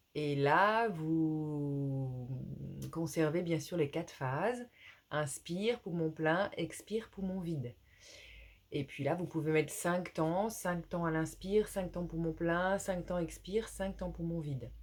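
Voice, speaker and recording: Soft-spoken and calm, a woman talks very slowly at a fairly low pitch, with ordinary pitch variation. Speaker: yoga teacher. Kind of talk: guided yoga class. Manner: calm, hesitant with fillers.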